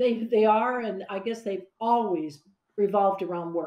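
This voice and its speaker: Against a quiet background with audible room echo, a woman speaks in a fairly high pitch with lively intonation. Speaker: business founder and entrepreneur; interviewee. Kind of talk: interview. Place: home room. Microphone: webcam.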